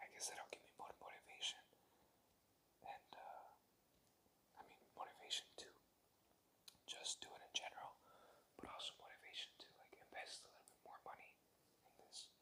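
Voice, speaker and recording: Whispering at a moderate pace, the speaker leaves long, frequent pauses, with big swings in loudness. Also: man. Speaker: first-time ASMR creator. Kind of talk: casual talk to camera. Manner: casual, rambling, self-deprecating, uses filler words.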